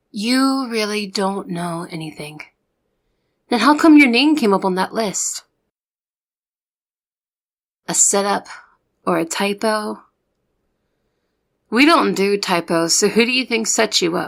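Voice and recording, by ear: A woman puts on a character voice at a medium pitch, with a fairly bright tone, lively intonation and vocal fry. She talks at a slow pace with long, frequent pauses, on a very clean recording with a silent background.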